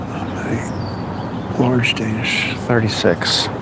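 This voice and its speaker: Mumbling at a medium pitch, a man is heard with audible room echo and noticeable background noise. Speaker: bakery delivery driver and vlogger. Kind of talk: casual live-stream chat while working. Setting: in a delivery van and at a business.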